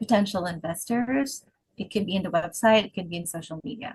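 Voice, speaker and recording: Somewhat breathy, a woman speaks at a medium pitch. Her pace is fairly quick. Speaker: interviewer. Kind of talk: interview. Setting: video call. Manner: casual.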